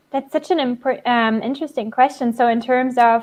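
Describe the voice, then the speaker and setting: A woman with a German accent speaks at a very fast pace with ordinary pitch variation. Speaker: developer relations engineer. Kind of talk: interview Q&A.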